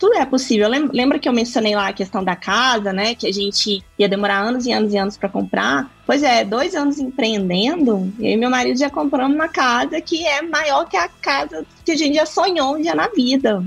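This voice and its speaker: With music in the background, a woman speaks at a high pitch with very wide pitch swings, keeping a moderate pace and hardly any pauses. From Brazil, Minas Gerais (Triângulo Mineiro). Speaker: business mentor for entrepreneurs. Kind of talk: podcast interview.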